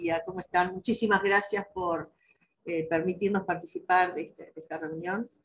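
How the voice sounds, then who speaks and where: A woman with a medium pitch talks at a moderate pace with fairly even intonation and big swings in loudness. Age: 60s. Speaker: election candidate, rural producer. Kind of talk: panel discussion, self-introduction. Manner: hesitant with fillers.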